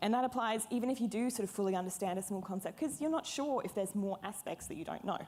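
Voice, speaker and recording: A woman talks very fast with hardly any pauses, her pitch medium and its variation ordinary, over noticeable background noise. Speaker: software developer, conference speaker. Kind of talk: conference talk. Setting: stage with audience.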